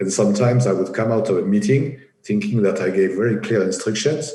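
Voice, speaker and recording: Here a man talks with a strong French accent and a dark, mellow tone. His pace is fairly quick, his pitch variation ordinary. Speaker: engineering project executive. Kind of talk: interview. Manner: halting, many fillers and repetitions.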